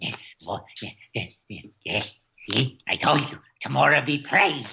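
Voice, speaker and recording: Put-on character voice from a man, pitched fairly high, delivered at a moderate pace. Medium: actual play. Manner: excitable, repeats words.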